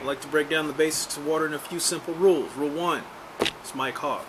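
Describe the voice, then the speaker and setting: A man with an American accent talks at a fairly quick pace and a fairly high pitch over noticeable background noise. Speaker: YouTuber teaching survival skills. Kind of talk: casual tutorial, commenting on a read-out text. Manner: casual, with many fillers.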